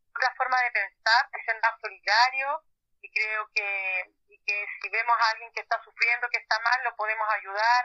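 Her pitch is fairly high for a woman. She speaks at a moderate pace with monotone, flat intonation. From Chile, Valparaíso. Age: 30s. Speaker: social worker. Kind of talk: interview. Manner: halting.

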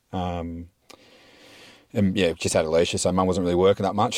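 A man speaks with an Australian accent. His pace is moderate. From South Australia, Mount Gambier. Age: 30s. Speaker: podcast guest, mine worker. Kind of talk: casual chat.

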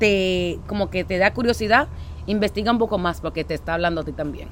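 Noticeable background noise fills the clip. Through it, a woman can be heard talking. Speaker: podcast co-host. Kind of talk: casual chat. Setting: outdoors.

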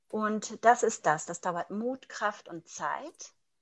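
With lively intonation, this woman's voice sits at a fairly high pitch. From Germany. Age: 40s. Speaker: mindfulness teacher. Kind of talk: interview. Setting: video call.

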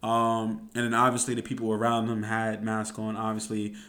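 Medium-pitched male speech in a space with audible room echo. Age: 20s. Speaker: solo podcast host. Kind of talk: casual solo podcast monologue.

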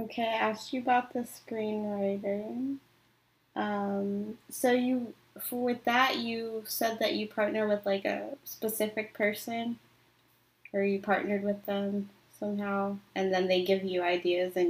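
A soft-spoken woman with an American accent speaks at a fairly slow pace, her medium pitch held in fairly even intonation. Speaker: podcast host interviewer. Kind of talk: casual interview.

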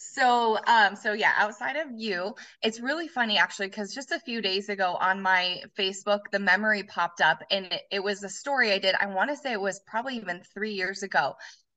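A woman with an unremarkable speaking voice talks in an American accent at medium pitch, ordinary pitch variation, and a fairly quick pace with hardly any pauses. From Colorado. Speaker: former gym owner. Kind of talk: interview.

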